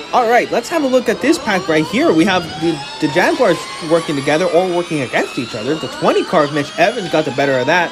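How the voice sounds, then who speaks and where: Over noticeable background noise, a man with a high pitch talks at a very fast pace, his pitch swinging very widely. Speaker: race commentator. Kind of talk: live sports race commentary.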